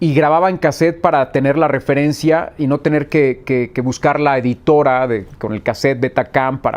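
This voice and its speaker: A plain, everyday voice from a man, medium in pitch and fairly quick, with ordinary pitch variation. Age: 40s. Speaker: sports journalist. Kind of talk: interview.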